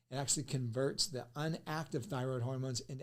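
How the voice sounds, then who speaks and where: Talking at a very fast pace, a man with a medium pitch sounds animated, with ordinary pitch variation. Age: 60s. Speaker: nutrition educator. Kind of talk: podcast talk.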